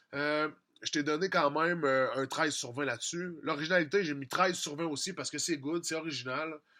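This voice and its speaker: On a very clean recording with a silent background, a man talks in a fairly high pitch. His tone is bright and sharp. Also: fairly even intonation, fairly quick pace. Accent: strong Quebec. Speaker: music producer and rap contest judge. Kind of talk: critique of contest entries. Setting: studio. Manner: fast; casual, conversational.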